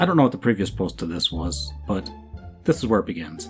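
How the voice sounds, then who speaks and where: Over music in the background, a man talks at a fairly quick pace. His pitch swings very wide. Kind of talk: commentary reading social media posts.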